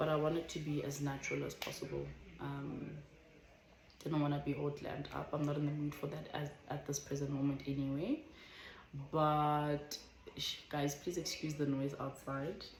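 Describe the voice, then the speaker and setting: Long, frequent pauses break up a woman's very deep, low voice. Her intonation is monotone and flat, with audible room echo. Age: 20s. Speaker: vlogger. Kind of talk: casual chat. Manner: slow; careful, measured.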